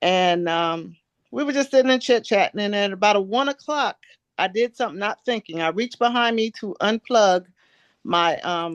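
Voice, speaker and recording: With lively intonation and a moderate pace, a woman talks in an ordinary speaking voice, the sound dry and close with no echo and the background quiet. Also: medium pitch for a woman. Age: 60s. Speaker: testimonial giver. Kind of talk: testimony. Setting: group conference call.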